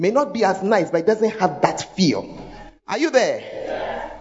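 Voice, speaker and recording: A woman speaks in a Ghanaian accent with an animated tone. Her pitch swings very widely. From Ghana, Accra. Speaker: pastor. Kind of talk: sermon. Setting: church.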